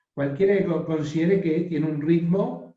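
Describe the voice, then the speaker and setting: This man's voice is somewhat breathy. Its tone comes across dark and mellow. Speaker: professor teaching a workshop. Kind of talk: online workshop lecture. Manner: slow.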